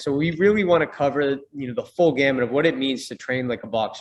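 Talking at a very fast pace, a man with an American accent shows ordinary pitch variation. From US Northeast, Boston. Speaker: fitness company co-founder and boxing coach. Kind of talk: casual interview.

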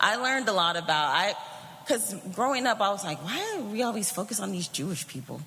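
Noticeable background noise runs under speech delivered at a very fast pace. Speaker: church member giving testimony. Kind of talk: testimony.

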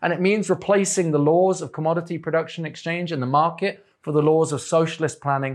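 A man speaks with an English accent at a moderate pace. His pitch is fairly high. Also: quiet background. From England. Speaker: political activist and editor giving a talk. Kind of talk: lecture. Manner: halting, many fillers.

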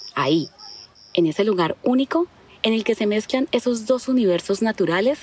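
A soft woman's voice is not listed, so: a woman at medium pitch speaks at a moderate pace with very wide pitch swings and very even loudness, the sound dry and close with no echo over noticeable background noise. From Colombia, Caquetá (Florencia). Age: 40s. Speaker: school teacher and narrator. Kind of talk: scripted narration.

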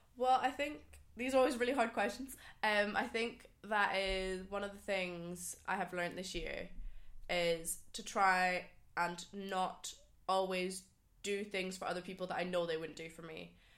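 A woman with a Scottish Highland accent speaks at a moderate pace and medium pitch, with ordinary pitch variation. Her loudness swings a lot, and audible room echo surrounds her. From Scottish Highlands. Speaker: podcast guest. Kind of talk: casual chat.

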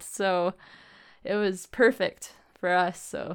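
With a Western Canadian accent and fairly even intonation, a woman speaks in a very clean recording with a silent background. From Alberta, Canada. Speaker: massage therapist. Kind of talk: casual interview.

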